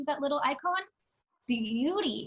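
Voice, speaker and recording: In a raised, projected voice, a woman speaks at a high pitch with lively intonation. Her tone is bright and sharp. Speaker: teaching assistant. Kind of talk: tutorial. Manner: fast.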